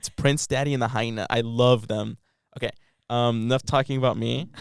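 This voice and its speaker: Speaking at a fairly quick pace with a Californian accent, a man holds a medium pitch and fairly even intonation. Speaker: college student. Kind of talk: casual podcast conversation. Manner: casual, filler-heavy.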